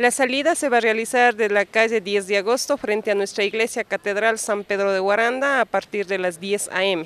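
A woman talks at a moderate pace with hardly any pauses. Her pitch varies in an ordinary way, and the sound is dry with no echo. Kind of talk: interview answer. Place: street. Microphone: handheld.

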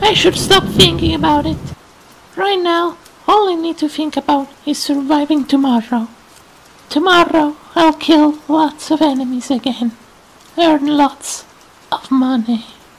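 The voice sits at a high pitch and moves at a moderate pace. Long pauses come often. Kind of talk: amateur fan dub acting. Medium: fan dub. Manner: shaken, disbelieving.

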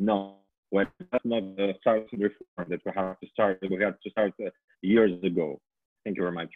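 The background is quiet as a man talks at a moderate pace with long, frequent pauses. His pitch is fairly low and his intonation monotone and flat. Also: dry sound with no echo. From Ukraine. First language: Ukrainian. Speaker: politician. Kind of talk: panel discussion. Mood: critical, earnest. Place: home room. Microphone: earbuds.

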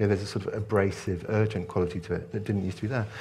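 The voice carries a British accent. It sounds somewhat breathy. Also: man. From Hong Kong, British expatriate. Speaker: author. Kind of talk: onstage interview and Q&A. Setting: stage with audience. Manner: hesitant, repeats words when starting. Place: hall. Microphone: headset.

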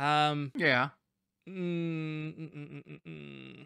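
A man is speaking over a quiet background. The sound is dry with no echo. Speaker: comedy show co-host. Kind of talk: casual comedic chat. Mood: playful, laughing. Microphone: studio mic.

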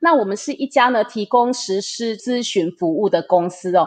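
A woman's ordinary speaking voice with lively intonation at a moderate pace. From Taiwan. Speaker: interpreter and business group manager. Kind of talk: interview, interpreting.

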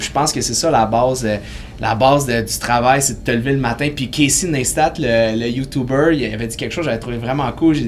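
In a Quebec accent, a man talks fairly quickly at medium pitch. His intonation is fairly even, with light background noise. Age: 30s. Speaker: kinesiologist and fitness entrepreneur; podcast guest. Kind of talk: casual interview. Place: studio.

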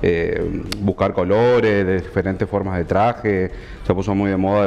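Over light background noise, a man with a fairly low pitch talks at a moderate pace in a plain, everyday voice. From Argentina, Chaco (Resistencia). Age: 30s. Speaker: tailor and fashion designer guest. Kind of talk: TV interview. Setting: TV studio. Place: studio.

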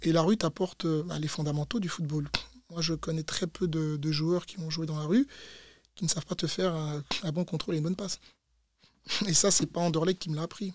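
Against a quiet background, a man talks at a fairly quick pace with a fairly high pitch. His intonation stays fairly even, broken by long, frequent pauses. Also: dry sound with no echo. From Belgium, Brussels. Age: 30s. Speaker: former footballer and fitness coach; fitness coach. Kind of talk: interview. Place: studio. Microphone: studio mic.

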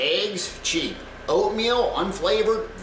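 Noticeable background noise accompanies a man as he talks. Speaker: content creator. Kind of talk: casual vlog chat. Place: kitchen. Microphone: camera far.

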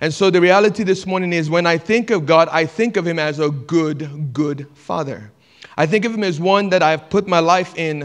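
The speaker goes at a moderate pace with ordinary pitch variation. The background is quiet. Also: man. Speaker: pastor. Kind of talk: sermon. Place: church. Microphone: handheld.

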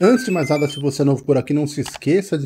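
A man with a dark, mellow tone and a somewhat breathy sound speaks at a fairly quick pace. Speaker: gaming channel host. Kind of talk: casual vlog chat. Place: home room. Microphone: headset.

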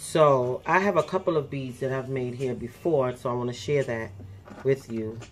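Faint music plays behind a woman whose very deep, low voice moves at a fairly slow pace. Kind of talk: tutorial. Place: home room. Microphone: phone near.

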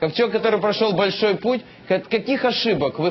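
Noticeable background noise sits behind a man whose intonation is lively. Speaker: politician. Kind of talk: heated debate.

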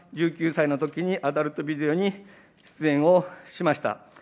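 Here a man talks at a moderate pace. His pitch variation is ordinary. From Japan. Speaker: opposition politician. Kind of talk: parliamentary committee questioning. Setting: parliament committee room. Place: meeting room. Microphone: podium.

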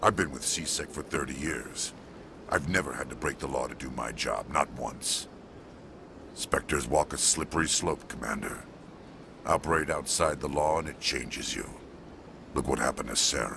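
Putting on a gruff character voice, a man speaks very deep and low at a moderate pace with long, frequent pauses, against clear background noise. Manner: gruff, distrustful of humans.

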